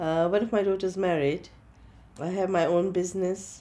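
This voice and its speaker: In a Gujarati accent, a woman with a medium pitch and a dark, mellow tone speaks at a moderate pace. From Kenya and Gujarat, India. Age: 60s. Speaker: interviewee in documentary. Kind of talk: interview. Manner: halting.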